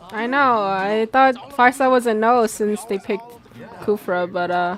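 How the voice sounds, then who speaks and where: The speaker has an American accent and talks at a fairly slow pace. Noticeable background noise runs underneath. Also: woman. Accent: American-sounding. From Korea. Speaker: esports streamer / restreamer. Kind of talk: casual live-stream chat reading and reacting. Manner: animated.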